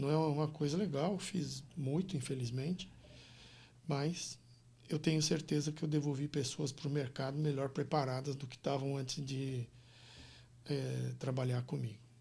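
A man with a fairly high pitch speaks at a moderate pace, taking long, frequent pauses. His tone is dark and mellow, somewhat breathy, with fairly even intonation. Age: 60s. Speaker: business consultant and executive coach. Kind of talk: interview conversation.

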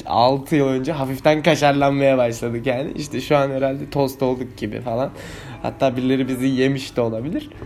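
A man's medium-pitched, monotone, flat voice at a fairly quick pace, with audible room echo and noticeable background noise. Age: 20s. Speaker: vlogger. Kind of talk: casual monologue.

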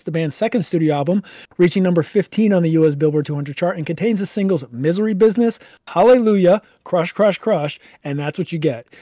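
A man's high-pitched voice, dark and mellow in tone, at a very fast pace. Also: very clean recording, silent background. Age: 20s. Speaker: podcast co-host. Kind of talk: casual chat; reading aloud.

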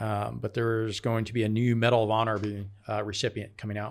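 In a very clean recording with a silent background, a man with a plain, everyday voice speaks at a fairly quick pace and a medium pitch. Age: 50s. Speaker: podcast host, military veteran. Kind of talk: casual chat.

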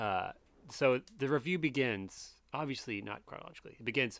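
The pace is fairly quick. A normal speaking voice carries it. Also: man. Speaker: comedian podcast host. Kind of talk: casual comedic chat reviewing a product.

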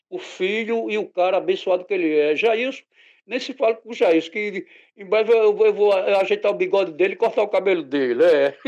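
A man with a high pitch and ordinary pitch variation speaks at a fairly quick pace, with big swings in loudness over a quiet background. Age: 50s. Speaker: stage roadie. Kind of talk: casual interview.

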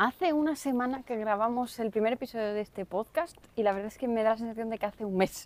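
A woman's fairly high voice at a very fast pace, hardly any pauses, ordinary pitch variation. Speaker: podcast co-host, new mother and entrepreneur. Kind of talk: casual chat.

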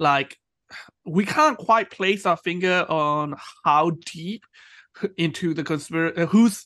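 A man's high-pitched voice, bright and sharp in tone, against a quiet background. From Myanmar. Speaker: podcast host. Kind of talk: casual chat.

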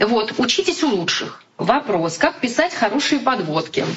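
A woman speaks at a high pitch. Noticeable background noise runs under her voice. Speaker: TV news anchor and correspondent. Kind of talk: live-stream talk. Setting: Instagram live broadcast. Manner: informal.

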